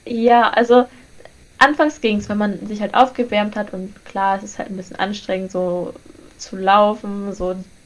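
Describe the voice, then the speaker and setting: This woman talks at a moderate pace in a medium-pitched voice with fairly even intonation. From northern Germany, Lüneburg. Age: young. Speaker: podcast co-host, university student. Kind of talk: casual chat.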